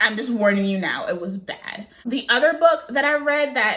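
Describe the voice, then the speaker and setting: A woman with a slight Southern US accent talks at a moderate pace in a bright, sharp, animated tone with lively intonation. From US South. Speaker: book vlogger. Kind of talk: casual chat.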